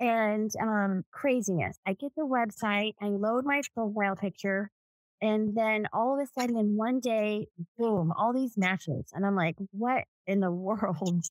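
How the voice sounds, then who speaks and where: With an ordinary speaking voice, a woman talks at a fairly slow pace and a fairly high pitch with ordinary pitch variation and very even loudness, in a dry, close recording with no echo. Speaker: real estate agent. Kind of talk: casual chat.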